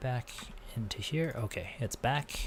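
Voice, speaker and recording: Somewhat breathy mumbling. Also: man. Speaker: programming instructor streamer. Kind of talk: live-stream tutorial.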